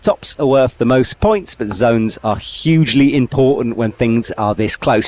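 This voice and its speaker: In a dry, close sound with no echo, a man with an ordinary speaking voice speaks at a medium pitch and moderate pace, his intonation lively. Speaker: climbing commentator. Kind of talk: live commentary. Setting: commentary box.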